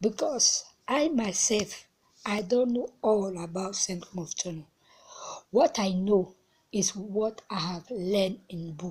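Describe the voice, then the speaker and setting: Speaking at a very slow pace, a woman has a somewhat breathy, medium-pitched voice. Her pitch varies in an ordinary way. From central Africa. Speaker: advocate for people with Turner syndrome. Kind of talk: personal testimony. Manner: halting.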